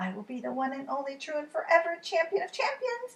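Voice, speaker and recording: A woman's squeaky, put-on character voice at an extremely high pitch, with very wide pitch swings and a very fast pace. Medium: read story. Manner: boastful, eager.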